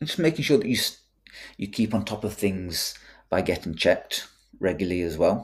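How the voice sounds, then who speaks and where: A man with a fairly low pitch and a somewhat breathy voice speaks at a moderate pace with long, frequent pauses, on a very clean recording with a silent background. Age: 30s. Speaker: nutrition and CrossFit coach, podcast co-host. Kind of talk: casual chat. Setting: home flat.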